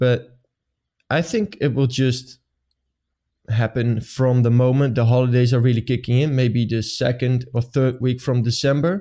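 Delivering his words at a moderate pace, a man keeps a very even loudness and fairly even intonation in a dark, mellow tone. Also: medium pitch for a man. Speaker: marketing podcast host. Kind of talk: casual chat. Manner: halting, many fillers.

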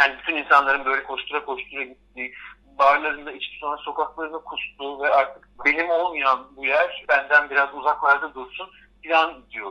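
In a bright, sharp tone, a man with a fairly high pitch speaks at a moderate pace. His intonation is flat and monotone, while his loudness swings widely. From Istanbul, Turkey. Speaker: art history lecturer. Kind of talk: radio interview. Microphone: telephone line.

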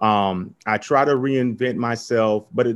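A man speaks with an American accent in a plain, everyday voice at medium pitch with ordinary pitch variation. The recording is very clean, with a silent background. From US South, Tampa, Florida. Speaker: entrepreneur. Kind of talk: interview.

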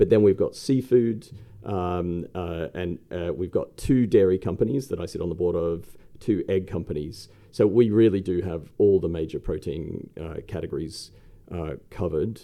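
A man talks at a moderate pace in an Australian accent. His pitch is very deep and low. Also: ordinary pitch variation. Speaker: investment company co-founder. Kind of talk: interview. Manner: hesitant, many fillers.

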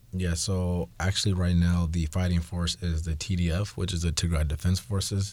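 A man with a very deep, low pitch and a somewhat breathy voice speaks at a moderate pace in monotone, flat intonation, with hardly any pauses. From Seattle, US Pacific Northwest. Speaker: school IT technology specialist. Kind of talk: interview. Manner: halting, many fillers.

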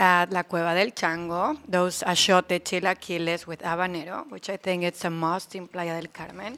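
The tone is bright and sharp, with a Spanish accent. The recording is very clean over a silent background. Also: woman. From Mexico (Aguascalientes). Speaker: attorney. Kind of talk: casual interview. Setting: studio.

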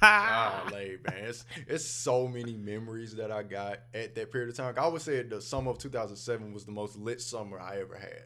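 A man talks in a normal speaking voice at medium pitch, keeping a fairly quick pace with hardly any pauses and fairly even intonation. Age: 30s. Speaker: podcast host. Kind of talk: casual chat.

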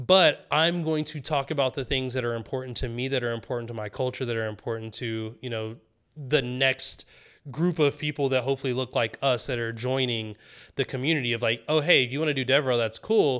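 In an American accent, an unremarkable speaking voice moves at a fairly quick pace with ordinary pitch variation on a very clean recording with a silent background. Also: man, medium pitch for a man. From US South (rural). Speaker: developer advocate, military veteran. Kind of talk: casual interview chat.

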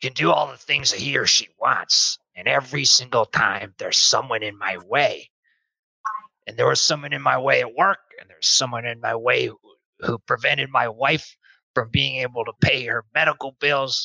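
A moderate pace is kept throughout. The speaker uses a put-on character voice. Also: man, medium pitch for a man. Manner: folksy, plainspoken, deferential.

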